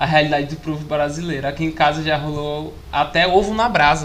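Against noticeable background noise and audible room echo, a man speaks at a moderate pace with a fairly high pitch and fairly even intonation. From Ceará, Brazil. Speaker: podcast host. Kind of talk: casual chat. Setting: live-streamed podcast.

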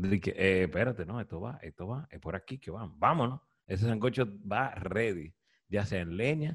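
A man speaks at a moderate pace in a fairly low, somewhat breathy voice with lively intonation, recorded very cleanly against a silent background. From Dominican Republic, Cibao (Santiago). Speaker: podcast host. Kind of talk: casual chat.

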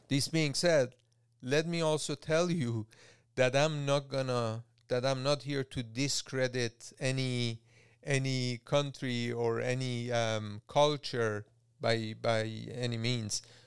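On a very clean recording with a silent background, a man speaks very slowly at medium pitch with fairly even intonation. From Iran. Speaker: entrepreneur and podcast host. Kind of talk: solo monologue, personal story. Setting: studio. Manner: halting, many repetitions and fillers.

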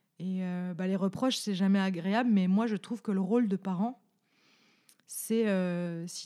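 A woman's dark, mellow voice at medium pitch with ordinary pitch variation, in a Franche-Comté accent. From Franche-Comté, France. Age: 30s. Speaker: podcast co-host. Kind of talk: casual chat.

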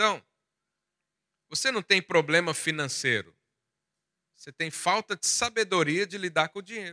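Pitched high, a man talks at a moderate pace with ordinary pitch variation, big swings in loudness, and long, frequent pauses. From Goiás, central Brazil. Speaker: pastor. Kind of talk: sermon.

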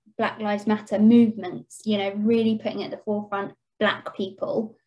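The voice has a dark, mellow tone and is somewhat breathy. It carries an English accent. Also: woman. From England. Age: 30s. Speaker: podcast co-host. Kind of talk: casual chat.

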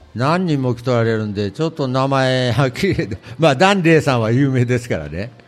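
With a Tottori accent, a man talks at a moderate pace with lively intonation. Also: medium pitch for a man. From Tottori, Kurayoshi. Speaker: antique shop owner. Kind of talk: interview. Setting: public recording in shopping center.

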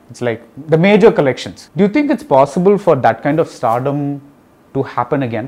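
A man with a plain, everyday voice speaks quickly at a fairly high pitch, with lively intonation and big swings in loudness. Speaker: interviewer and roundtable moderator. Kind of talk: moderated roundtable discussion.

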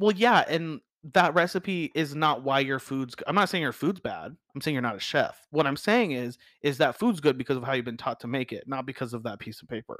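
Recorded very cleanly in a dry, close space with a silent background and no echo, a man's fairly high, animated voice moves at a fairly quick pace with lively intonation and big swings in loudness. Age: 30s. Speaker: chef. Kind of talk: casual chat.

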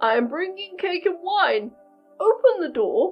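With faint music in the background, a woman uses a put-on character voice at a moderate pace. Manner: sly, coaxing.

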